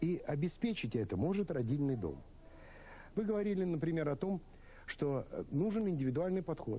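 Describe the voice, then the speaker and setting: A man's dark, mellow voice, fairly high in pitch, with lively intonation, very even loudness, a moderate pace and long, frequent pauses. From St. Petersburg, Russia; Russia. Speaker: obstetrician-gynecologist, professor; guest. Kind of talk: televised debate. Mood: calm, explanatory. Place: studio.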